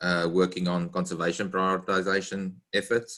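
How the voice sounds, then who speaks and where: In a very clean recording with a silent background, a man speaks with a South African accent. His pitch is very deep and low, his tone bright and sharp. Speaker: conservation scientist, treasurer candidate. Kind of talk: self-introduction.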